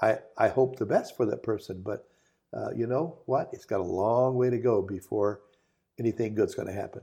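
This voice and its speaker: A man's medium-pitched voice with a dark, mellow tone against a quiet background. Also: ordinary pitch variation, moderate pace. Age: 70s. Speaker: company founder and chairman. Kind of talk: motivational talk in a podcast interview.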